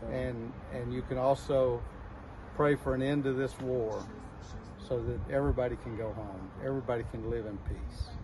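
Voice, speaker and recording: Speech comes at a moderate pace with fairly even intonation and long, frequent pauses. Noticeable background noise runs underneath. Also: man. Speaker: volunteer. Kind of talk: interview intro and appeal to camera. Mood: earnest, calm. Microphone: phone near.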